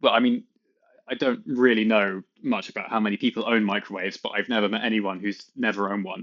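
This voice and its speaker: With a British accent and lively intonation, a man speaks at a very fast pace. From UK. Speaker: content creator. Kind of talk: reading aloud.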